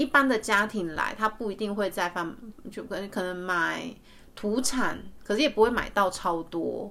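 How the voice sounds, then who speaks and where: A woman speaks with a Taiwanese accent. Her pitch varies in an ordinary way. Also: medium pitch for a woman, moderate pace. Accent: Taiwanese Mandarin. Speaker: podcast host. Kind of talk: casual chat. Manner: hesitant, many fillers.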